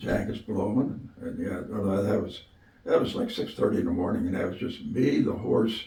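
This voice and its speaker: A man with a Western Pennsylvania accent talks over noticeable background noise, with audible room echo. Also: moderate pace. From Western Pennsylvania (Clarion County). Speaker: retired football coach. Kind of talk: interview. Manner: halting, many fillers.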